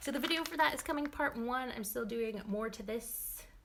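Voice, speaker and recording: Noticeable background noise sits behind a woman speaking at a fairly slow pace. Her tone is animated. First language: not English. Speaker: paper crafter. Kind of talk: livestream craft tutorial. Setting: live stream. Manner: chatty, animated.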